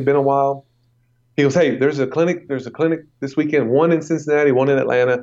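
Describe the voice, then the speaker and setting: A man with an unremarkable speaking voice talks fairly quickly, his pitch fairly high. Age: 40s. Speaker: strength and conditioning coach. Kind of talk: interview. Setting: phone call.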